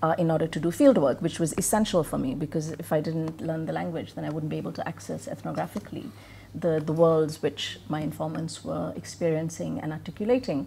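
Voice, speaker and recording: Speaking with an Indian accent, a woman uses a very deep, low pitch and ordinary pitch variation, talking at a fairly quick pace with hardly any pauses. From Singapore (from age 11), born in Bihar, India. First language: Hindi. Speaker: professor. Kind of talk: conference talk.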